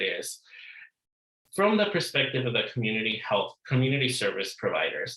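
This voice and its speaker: Audible room echo surrounds this man's voice. He speaks at a medium pitch with a bright, sharp tone. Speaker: academic researcher on conference panel. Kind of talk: conference presentation. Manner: fast.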